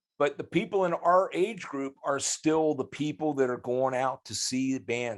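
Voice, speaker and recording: A medium-pitched man with lively intonation at a moderate pace, on a very clean recording with a silent background. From US Midwest, Grove City, Ohio. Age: 60s. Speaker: rock guitarist. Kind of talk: podcast interview. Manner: halting, frequent restarts.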